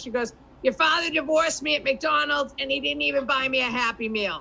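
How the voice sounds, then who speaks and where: A woman with a Boston accent speaks at a moderate pace in a high pitch. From Boston area. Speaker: comedian. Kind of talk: stand-up.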